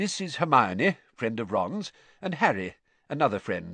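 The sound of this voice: A man's put-on character voice, medium in pitch with big pitch swings, bright and sharp with a slightly husky edge, at a fairly slow pace in a dry, close sound with no echo.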